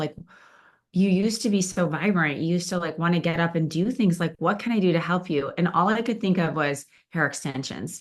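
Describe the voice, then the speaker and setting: A woman with a normal speaking voice talks at a fairly quick pace in a fairly low pitch. Her pitch variation is ordinary, and the background is quiet. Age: 60s. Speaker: event speaker sharing weight-loss story. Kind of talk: testimony talk to live audience. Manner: casual, with many fillers.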